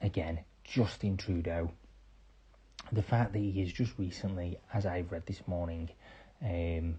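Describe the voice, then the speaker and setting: Against a quiet background, a man with a British accent speaks in a very deep, low pitch with a dark, mellow, somewhat breathy tone. His pace is moderate and his intonation fairly even. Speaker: podcaster. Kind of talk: opinion monologue. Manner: quiet, hushed; impassioned.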